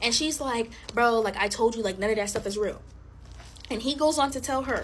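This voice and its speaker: A woman's voice sits fairly high in pitch and varies in an ordinary way. She speaks at a fairly quick pace. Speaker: TikTok storyteller. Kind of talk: casual storytelling to camera. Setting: alone, recording herself. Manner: animated.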